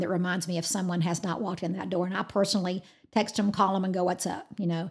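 A woman with an American accent talks at a very fast pace in a medium, somewhat breathy voice. Her intonation stays fairly even, and the recording is very clean with a silent background. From Georgia, US South. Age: 50s. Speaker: fitness studio founder. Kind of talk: interview.

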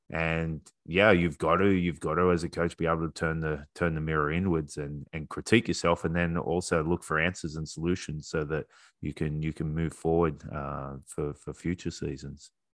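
A man with an Australian accent talks in a very deep, low pitch with monotone, flat intonation at a moderate pace. The sound is dry and close, with no echo. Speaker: podcast host. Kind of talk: casual interview chat.

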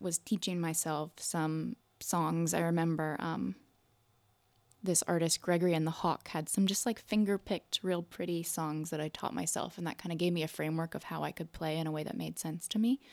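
Recorded very cleanly against a silent background, with a dry, close sound and no echo, a woman with a normal speaking voice and an American accent talks at a moderate pace in a fairly low pitch. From US South, North Carolina. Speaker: singer-songwriter and storyteller. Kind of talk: casual interview.

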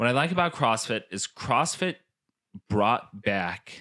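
A man with a bright, sharp tone at a fairly slow pace, in a very clean recording with a silent background. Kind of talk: casual chat. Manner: casual, joking.

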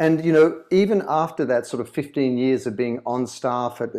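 A man with an Australian accent speaks at a medium pitch. His tone is dark and mellow, over a quiet background. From Sydney, Australia. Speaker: author and brand consultant. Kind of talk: interview.

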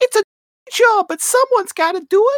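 A put-on character voice at an extremely high pitch and a fairly quick pace.

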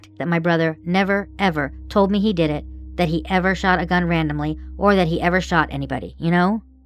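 With music in the background, a woman moves through her words at a fairly quick pace. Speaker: witness, sister of suspect. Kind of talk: recorded police interview.

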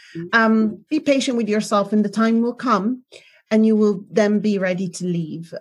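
A woman speaks in a somewhat breathy voice. Her pitch variation is ordinary. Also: fairly high pitch for a woman, moderate pace. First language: not English. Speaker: relationship and self-love coach. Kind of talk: interview. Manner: halting.

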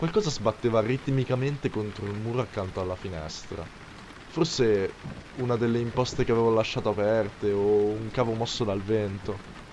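Noticeable background noise behind a man at medium pitch, ordinary pitch variation and a moderate pace. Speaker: creepypasta narrator. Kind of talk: ghost story telling, first-person horror narration.

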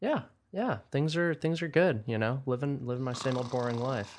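A man at a moderate pace, with a quiet background. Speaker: podcast co-host. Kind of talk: casual chat. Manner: monotone.

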